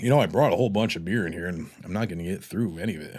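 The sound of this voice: In a raspy put-on character voice, a man rattles along very fast at a very deep, low pitch.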